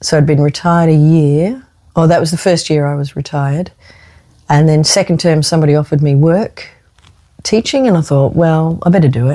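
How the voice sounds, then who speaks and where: The voice has a dark, mellow tone and an Australian accent. It moves at a fairly quick pace with ordinary pitch variation. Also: woman, very deep, low pitch for a woman. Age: 60s. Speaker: retired school teacher. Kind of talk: casual chat.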